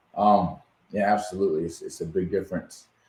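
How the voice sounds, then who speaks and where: A man is speaking. He has a Massachusetts accent. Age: 40s. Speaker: podcast host. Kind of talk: interview.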